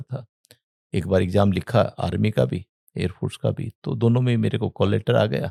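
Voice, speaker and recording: A man's fairly low, dark, mellow voice with vocal fry, in a dry, close sound with no echo. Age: 60s. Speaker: entrepreneur and former air force serviceman. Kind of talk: interview storytelling. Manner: halting.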